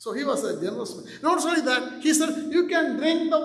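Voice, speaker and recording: Audible room echo surrounds a man's voice. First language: not English. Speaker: pastor. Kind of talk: sermon.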